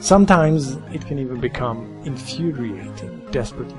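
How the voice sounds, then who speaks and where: With music in the background, a man with a non-native accent talks at a moderate pace using very wide pitch swings. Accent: heavy non-native. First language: not English. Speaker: retro game reviewer. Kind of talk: video game review narration.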